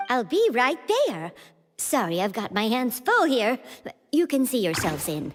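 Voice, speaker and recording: Faint music plays behind a cartoonish character voice, female-sounding and high-pitched, with very wide pitch swings at a moderate pace. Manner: brisk.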